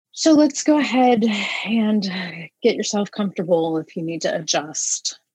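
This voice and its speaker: A woman's fairly high voice with very wide pitch swings, at a moderate pace. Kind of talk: guided meditation.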